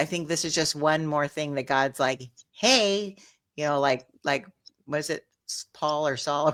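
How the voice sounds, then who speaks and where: On a very clean recording with a silent background, a woman speaks fairly slowly in a very deep, low voice. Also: ordinary pitch variation. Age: 60s. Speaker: business owner and cancer survivor. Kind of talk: casual interview chat. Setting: live show recording. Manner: animated.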